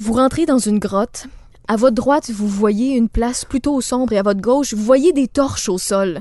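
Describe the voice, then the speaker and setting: A woman speaks with a dark, mellow tone at a fairly high pitch. Her pace is moderate and her pitch varies in an ordinary way. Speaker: podcast host. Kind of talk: casual chat. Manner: mock newsreader voice for headlines.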